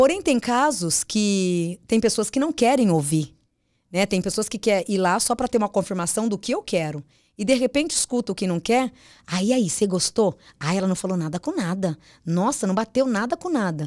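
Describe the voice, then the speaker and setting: In a very clean recording with a silent background and a dry, close sound with no echo, a woman with an unremarkable speaking voice talks at a moderate pace, her medium pitch carried by lively intonation. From São Paulo state, Brazil (Mogi das Cruzes). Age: 40s. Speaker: psychic medium. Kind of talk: casual interview chat.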